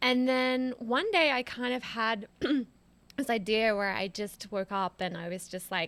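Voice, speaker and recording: With an American accent, a woman speaks at a fairly slow pace. Her pitch is fairly high, with ordinary variation. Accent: Australian with some American twang. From Australia, Sydney. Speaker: former PR professional, podcast guest. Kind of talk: casual interview. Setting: in person, in a home.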